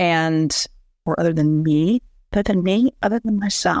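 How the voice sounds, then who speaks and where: With an unremarkable speaking voice, a woman speaks at a fairly low pitch and a moderate pace with ordinary pitch variation, in a very clean, dry, close recording with no echo and a silent background. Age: 60s. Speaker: author. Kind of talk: interview.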